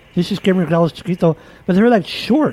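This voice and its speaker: This man's voice is high-pitched, with a dark, mellow tone. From Texas. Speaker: podcast host. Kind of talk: casual chat.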